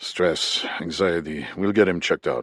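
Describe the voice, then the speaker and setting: Raspy, very deep, low male put-on character voice at a moderate pace. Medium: read story.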